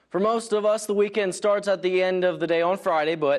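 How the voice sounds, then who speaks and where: A man with a high pitch talks at a fairly quick pace in an energetic, upbeat tone. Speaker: sports anchor and reporter. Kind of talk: sports news anchor read.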